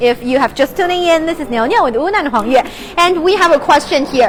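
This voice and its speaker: A woman speaks with a Chinese accent and lively intonation. Noticeable background noise is present. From China. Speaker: live stream travel host. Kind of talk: live stream presenting. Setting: outdoors at a bazaar. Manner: animated.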